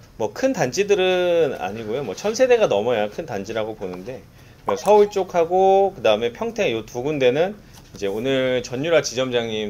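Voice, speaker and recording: This man talks at a medium pitch and a moderate pace. His pitch swings very widely. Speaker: insurance sales manager. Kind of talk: staff briefing.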